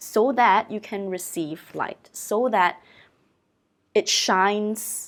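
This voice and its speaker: A woman with a Chinese accent speaks at a fairly high pitch with lively intonation. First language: Mandarin Chinese. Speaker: oracle card reader and channeler. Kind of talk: oracle card reading. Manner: reflective, conversational.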